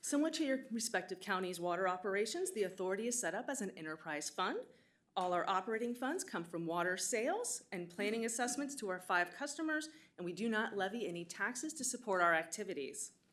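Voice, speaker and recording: Loud and very fast, a woman speaks at a medium pitch with very wide swings in her pitch. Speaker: water authority finance staff presenter. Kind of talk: formal budget presentation. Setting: public board meeting in county building. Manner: formal.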